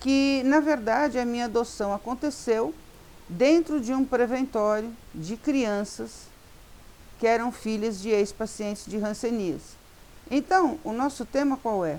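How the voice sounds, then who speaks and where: A woman speaks at a fairly slow pace in an unremarkable speaking voice, her fairly high pitch showing ordinary pitch variation. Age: 60s. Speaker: social worker and educator. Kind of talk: talk to law students.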